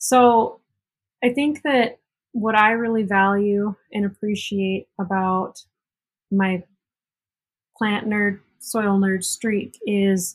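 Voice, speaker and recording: At a very slow pace, a somewhat breathy woman of medium pitch speaks with fairly even intonation and long, frequent pauses. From South Dakota, Cheyenne River reservation. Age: 20s. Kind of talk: interview.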